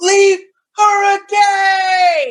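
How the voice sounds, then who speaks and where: Shouting in a put-on character voice, the speaker holds an extremely high pitch with monotone, flat intonation. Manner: crazy, shouting battle cry.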